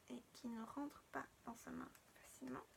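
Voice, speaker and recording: A woman speaks in a soft-spoken voice. Her pace is fairly slow. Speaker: doll collector YouTuber. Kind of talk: unboxing tutorial.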